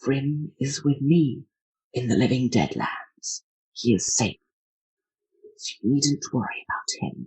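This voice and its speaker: In a put-on character voice with a low-to-middle pitch, the speaker goes at a fairly slow pace with long, frequent pauses. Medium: actual play. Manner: calm.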